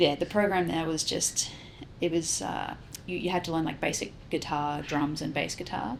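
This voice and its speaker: A woman with an Australian accent speaks at a moderate pace in a fairly low pitch, with noticeable background noise. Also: ordinary pitch variation. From South Australia. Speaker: musician. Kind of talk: interview.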